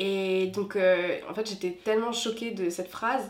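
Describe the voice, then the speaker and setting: Monotone, flat intonation in a woman's medium-pitched voice. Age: 20s. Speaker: consultant. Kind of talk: testimony.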